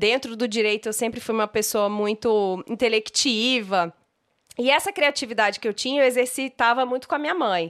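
Her unremarkable speaking voice is fairly high-pitched, the woman speaking at a moderate pace with ordinary pitch variation in a dry, close sound with no echo. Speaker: image and style consultant, podcast co-host. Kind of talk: casual chat.

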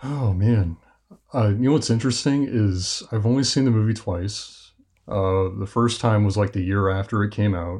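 Against a quiet background, a man with an ordinary speaking voice and a fairly low pitch talks at a moderate pace with ordinary pitch variation. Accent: American. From US Midwest, Kansas City, Missouri. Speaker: podcast guest, music fan. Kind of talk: casual chat.

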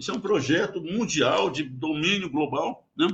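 The speaker is a man. His pitch sits high. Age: 80s+. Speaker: geologist, former oil company executive. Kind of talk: radio interview. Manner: halting, repeats words.

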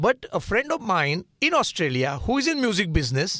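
A man with a high pitch and a bright, sharp tone makes very wide pitch swings at a moderate pace, in a dry, close sound with no echo on a very clean recording with a silent background. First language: Marathi. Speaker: nonprofit founder. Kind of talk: radio interview. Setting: studio.

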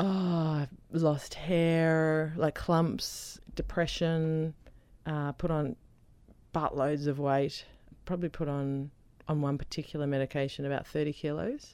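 A woman's very deep, low voice with an Australian accent, dark and mellow in tone, very slow and fairly even in intonation. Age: 40s. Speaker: author and comedian with epilepsy. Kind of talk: radio interview.

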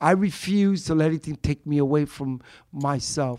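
A man's fairly high-pitched voice, a normal speaking voice, with ordinary pitch variation, on a very clean recording with a silent background. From Brooklyn, New York. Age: 60s. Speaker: street performer, musician and poet.

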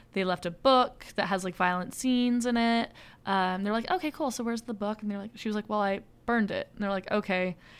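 Delivered at a fairly quick pace, a plain, everyday voice comes through on a very clean recording with a silent background. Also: woman, fairly high pitch for a woman, ordinary pitch variation. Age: 20s. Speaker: podcast co-host. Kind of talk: casual chat about a horror movie.

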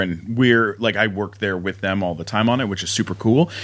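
A man speaks in an ordinary speaking voice, fairly low in pitch, with ordinary pitch variation. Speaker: comedian and podcaster.

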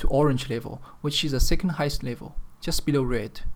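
A man speaks with a Chinese accent at a fairly high pitch. His pace is fairly quick, with ordinary pitch variation. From China, Chengdu (Sichuan). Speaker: podcaster. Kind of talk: solo podcast monologue. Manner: serious.

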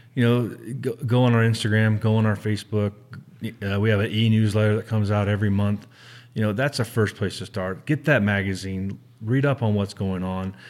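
Using an ordinary speaking voice, a man talks fairly quickly at a fairly low pitch with fairly even intonation, in a very clean recording with a silent background. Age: 40s. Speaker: conservation organization staff. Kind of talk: casual interview.

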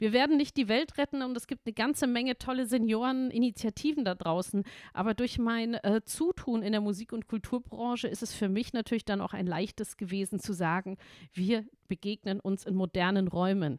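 A woman speaks at a fairly quick pace in a fairly high voice with an animated tone and ordinary pitch variation, on a very clean recording with a silent background. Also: dry, close sound with no echo. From Bavaria, Munich. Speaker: music and culture manager, founder of senior initiative. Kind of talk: casual interview.

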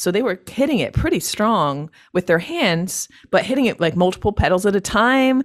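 A woman in a Northeastern US accent, medium pitch with very wide swings, very even loudness, a moderate pace, and a dry, close sound with no echo. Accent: American (Northeast). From upstate New York, US. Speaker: loop artist and singer. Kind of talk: interview.

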